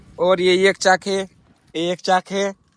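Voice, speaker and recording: A man talks in a high pitch with monotone, flat intonation. The sound is dry and close, with no echo. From Maharashtra, India. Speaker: vlogger. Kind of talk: casual vlog narration.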